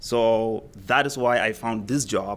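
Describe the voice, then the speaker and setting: The speaker is a man. He has a Somali accent. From Somalia. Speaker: school community liaison. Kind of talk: public testimony at a meeting. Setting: school board meeting. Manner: loud.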